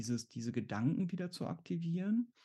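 Somewhat breathy and dark, mellow in tone, the voice moves at a moderate pace with lively intonation. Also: man. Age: 40s. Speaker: exam anxiety coach and therapist. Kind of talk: interview. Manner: halting.

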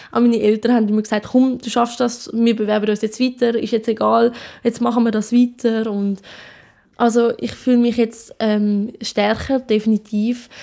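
The voice has a dark, mellow tone and a monotone, flat intonation, moving at a moderate pace. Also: woman, fairly high pitch for a woman. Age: young. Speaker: apprentice care worker. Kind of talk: interview.

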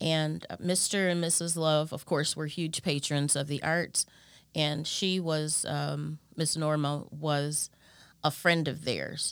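With an American accent, a woman speaks in a very deep, low pitch. Her intonation is monotone and flat, and her pace is very slow. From Chicago area, Illinois (Park Forest). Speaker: singer and voice teacher. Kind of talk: interview. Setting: studio.

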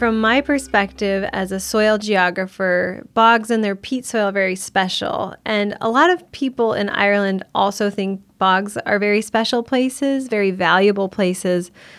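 A woman with a US Midwestern accent, medium pitch, ordinary pitch variation, moderate pace and hardly any pauses. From US Midwest, Iowa. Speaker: soil geographer. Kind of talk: interview storytelling.

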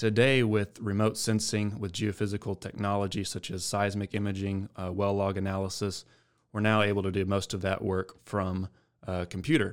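Recorded very cleanly against a silent background, a man with a Texan accent speaks in a fairly low, monotone voice with flat intonation. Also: moderate pace. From West Texas, San Angelo. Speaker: geophysicist. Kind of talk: casual interview. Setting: studio.

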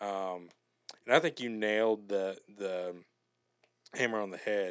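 A fairly low-pitched man's voice in an American accent with fairly even intonation. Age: 20s. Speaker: sports fan guest. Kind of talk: casual chat.

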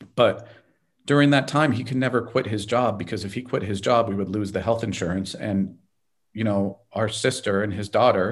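Over a quiet background, a man with a Californian accent speaks at a moderate pace in a medium pitch with ordinary pitch variation. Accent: General American (California). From Los Angeles. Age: 50s. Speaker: lawyer and entrepreneur. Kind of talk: interview.

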